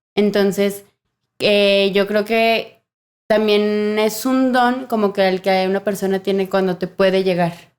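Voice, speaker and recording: On a very clean recording with a silent background, a woman talks at medium pitch. Her pace is very slow and her intonation is flat and monotone. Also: very even loudness. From Mexico. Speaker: sign language interpreter. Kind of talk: podcast interview. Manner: talkative.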